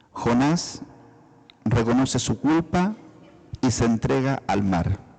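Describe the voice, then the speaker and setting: Very wide pitch swings mark a man's very slow speech. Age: 60s. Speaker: lay preacher. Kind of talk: sermon. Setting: church service.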